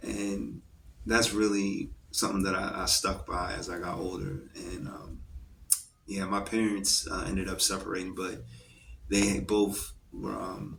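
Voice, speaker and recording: A man's fairly slow speech comes with audible room echo and noticeable background noise. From California, moved around as a child. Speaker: poet. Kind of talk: interview. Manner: casual, many fillers.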